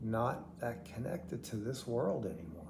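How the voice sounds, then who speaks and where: Audible room echo carries a man's somewhat breathy, dark and mellow voice at a medium pitch and a fairly slow pace. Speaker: vlogger with terminal heart failure. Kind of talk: personal video diary. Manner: halting, word-finding pauses.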